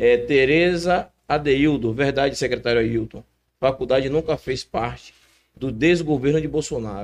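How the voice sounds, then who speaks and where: Using a normal speaking voice, a man with a fairly high pitch speaks at a moderate pace with ordinary pitch variation. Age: young. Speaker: podcast co-host. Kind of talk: casual chat.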